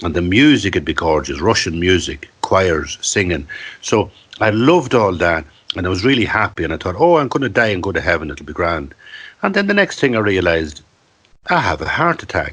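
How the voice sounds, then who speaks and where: With an Irish accent, a man speaks at a fairly quick pace in a very deep, low pitch and lively intonation. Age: 60s. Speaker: storyteller and writer. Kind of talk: podcast interview. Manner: animated.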